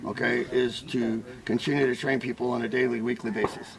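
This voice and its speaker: A man talks at a moderate pace while noticeable background noise continues around him. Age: 70s. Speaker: weapons instructor. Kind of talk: interview. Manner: casual, filler-heavy.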